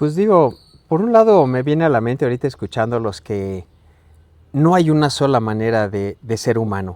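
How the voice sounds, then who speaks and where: Here a man speaks at a medium pitch and a moderate pace. His intonation is lively. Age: 60s. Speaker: podcast guest. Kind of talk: casual chat. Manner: halting.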